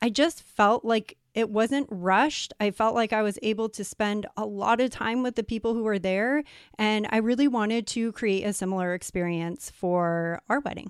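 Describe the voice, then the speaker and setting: At a moderate pace with hardly any pauses and ordinary pitch variation, the speech comes through a very clean recording with a silent background and a dry, close sound free of echo. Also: woman, fairly high pitch for a woman. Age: 30s. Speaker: recently married bride. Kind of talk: casual interview.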